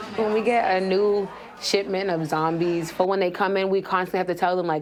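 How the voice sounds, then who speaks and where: A woman with fairly even intonation moves at a fairly quick pace against noticeable background noise. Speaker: jail inmate. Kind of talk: documentary interview. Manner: loud.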